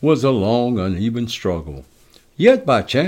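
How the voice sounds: A natural reading voice is heard. Its pitch moves in a lively way.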